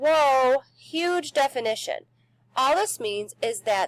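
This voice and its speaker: The sound is dry and close, with no echo. A woman talks at a fairly slow pace. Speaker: science teacher. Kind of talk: recorded lesson. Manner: halting, self-correcting.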